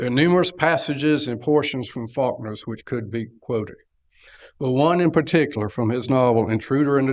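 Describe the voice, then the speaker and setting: A man with a North Carolina accent and ordinary pitch variation, on a very clean recording with a silent background. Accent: Southern US, North Carolina. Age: 70s. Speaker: lecturer. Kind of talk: lecture.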